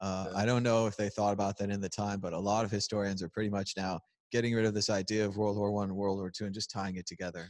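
Over a quiet background, a man with an American accent talks at a very fast pace. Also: fairly low pitch for a man, dry sound with no echo. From United States. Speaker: crypto video host. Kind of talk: casual chat. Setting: conference venue, on camera. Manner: animated, joking. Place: hall.

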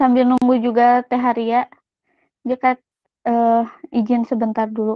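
Against a quiet background with a dry sound and no echo, the speaker uses monotone, flat intonation at a fairly slow pace with long, frequent pauses. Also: woman, high pitch for a woman. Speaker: student event MC. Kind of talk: formal announcement; formal event hosting. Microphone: video call.

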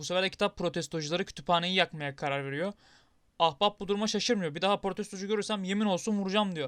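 A man's high-pitched voice at a very fast pace, with ordinary pitch variation and a dry, close sound with no echo. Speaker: gaming YouTuber. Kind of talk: game narration voiceover. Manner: improvised, conversational.

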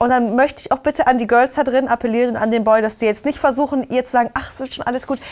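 A woman with a high pitch speaks at a very fast pace against a quiet background. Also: big swings in loudness. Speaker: YouTube reality TV commentator. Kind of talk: casual chat. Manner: animated. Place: studio. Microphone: lapel.

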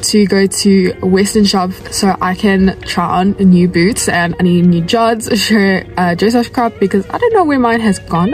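A woman speaks with hardly any pauses over faint music in the background. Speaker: equestrian vlogger. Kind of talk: casual vlog chat. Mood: upbeat, chatty. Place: car. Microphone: phone near.

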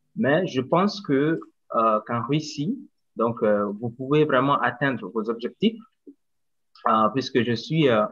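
Against a quiet background, a man speaks very slowly with lively intonation and long, frequent pauses. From Mali, Bamako; Mali. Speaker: English teacher and doctoral student. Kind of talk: casual presentation. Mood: friendly, smiling. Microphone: video call.

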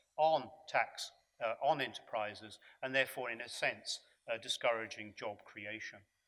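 A man speaks in a fairly bright tone. His pitch variation is ordinary.

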